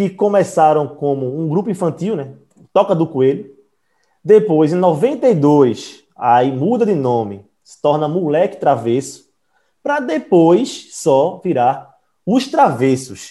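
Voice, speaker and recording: This man speaks very slowly in a high voice with a dark, mellow tone. His pitch swings very widely and his loudness rises and falls sharply. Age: 20s. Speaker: podcast host. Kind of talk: casual chat.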